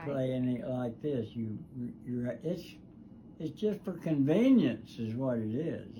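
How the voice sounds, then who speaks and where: A man with a Southern US accent speaks very slowly in a dark, mellow, somewhat breathy tone. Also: medium pitch for a man, lively intonation. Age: 80s+. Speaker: guitar builder; war veteran. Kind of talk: casual conversation in workshop. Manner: slow, rambling storytelling.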